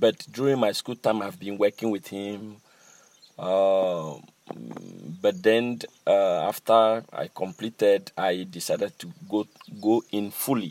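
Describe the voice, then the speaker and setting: A man with a fairly low pitch speaks very slowly, with long, frequent pauses, big swings in loudness and ordinary pitch variation, in a dry, close sound with no echo. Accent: Ghanaian. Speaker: master drummer and cultural center director. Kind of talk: interview.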